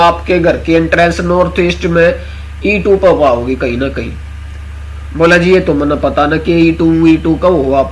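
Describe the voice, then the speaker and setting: A man at a moderate pace with a Haryana accent, over noticeable background noise. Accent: Haryanvi. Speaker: astro vastu consultant. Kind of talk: casual online class talk.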